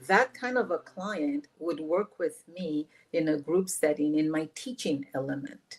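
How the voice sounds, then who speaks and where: A woman talks with a slight Nigerian accent. Her pitch is very deep and low, and her pace is fairly slow. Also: lively intonation. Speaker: life coach. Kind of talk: podcast interview. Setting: podcast recording.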